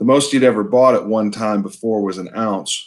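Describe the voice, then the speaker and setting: On a very clean recording with a silent background, a man with an American accent speaks in a plain, everyday voice at a fairly low pitch, a moderate pace and fairly even intonation. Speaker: novelist, author. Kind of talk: author's reading of his own novel. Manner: measured, storytelling.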